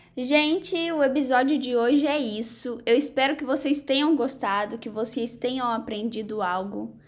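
This woman has a high-pitched voice with ordinary pitch variation, heard over noticeable background noise. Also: moderate pace, hardly any pauses. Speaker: podcast host, university student. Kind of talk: casual interview chat; scripted intro and outro.

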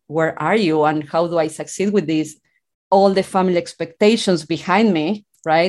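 In an Argentine accent, a woman speaks with a fairly low pitch. Her intonation is fairly even, and the background is quiet. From Argentina, rural town. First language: Spanish. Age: 40s. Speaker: author and mindset coach. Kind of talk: interview.

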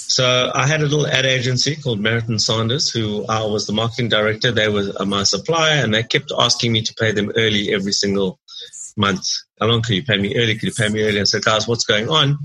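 A man's medium-pitched, bright and sharp voice at a very fast pace, its loudness very even. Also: ordinary pitch variation. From South Africa, Durban. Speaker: entrepreneur, business incubator CEO. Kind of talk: interview.

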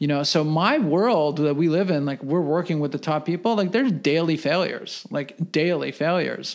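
With a normal speaking voice, a man talks at a moderate pace and fairly high pitch, showing ordinary pitch variation and hardly any pauses. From US (moved from Russia at five). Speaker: entrepreneur. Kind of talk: casual interview.

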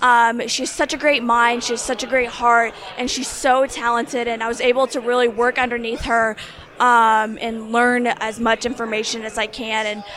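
A woman with an American accent speaks at a moderate pace in a high pitch, her intonation monotone and flat, over noticeable background noise. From Indiana. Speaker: job seeker, recent graduate. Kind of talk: interview.

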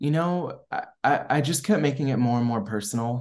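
A man with an American accent talks at a medium pitch. He has a normal speaking voice with ordinary pitch variation. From US East Coast, Maryland. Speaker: filmmaker. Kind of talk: interview.

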